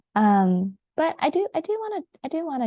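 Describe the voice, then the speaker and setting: This woman's voice comes across as somewhat breathy. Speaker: vlogger, brain injury survivor. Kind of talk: personal vlog. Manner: hesitant, many fillers.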